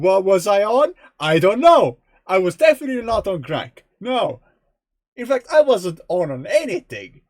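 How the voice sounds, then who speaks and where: A man's high voice, slow-ish in pace, with very wide pitch swings and a dry, close sound with no echo. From Estonia. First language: Estonian. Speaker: video game streamer. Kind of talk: casual gameplay live stream. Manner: rambling, chatty.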